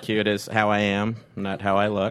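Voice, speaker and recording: Over crowd noise in the background, a man speaks in a fairly low pitch. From Texas, Fort Worth. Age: 30s. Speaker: stand-up comedian. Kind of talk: stand-up. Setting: stage with audience.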